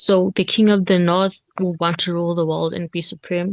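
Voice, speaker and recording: Against a quiet background, a woman with a fairly low pitch speaks with fairly even intonation in a dry, close sound with no echo. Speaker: Bible study presenter. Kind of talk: Bible study presentation. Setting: video call. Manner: halting.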